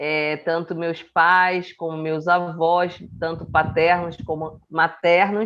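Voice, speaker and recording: A woman with a Rio de Janeiro accent, fairly low in pitch, monotone and flat, at a very slow pace with hardly any pauses. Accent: carioca. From Rio de Janeiro, Brazil. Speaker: podcast co-host. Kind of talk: casual chat.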